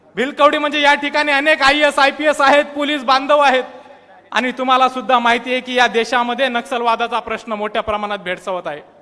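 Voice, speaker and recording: A raised, projected voice carries an animated tone. Its pitch varies in an ordinary way. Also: man, extremely high pitch for a man. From Maharashtra, Buldhana district (Vidarbha). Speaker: student activist. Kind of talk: public speech. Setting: stage with audience.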